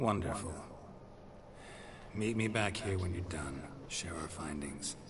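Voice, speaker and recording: A man puts on a character voice, very deep and low, at a fairly slow pace. Loud background noise sits behind him. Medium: video game. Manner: terse, deadpan.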